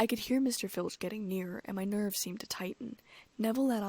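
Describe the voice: The voice does plain reading aloud with ordinary pitch variation.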